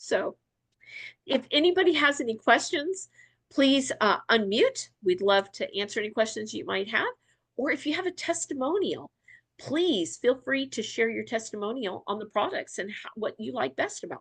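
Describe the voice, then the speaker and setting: A woman with a high pitch speaks at a moderate pace in an animated tone, her pitch swinging very widely and her loudness shifting a lot, over a quiet background. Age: 60s. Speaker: wellness product distributor. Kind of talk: training presentation.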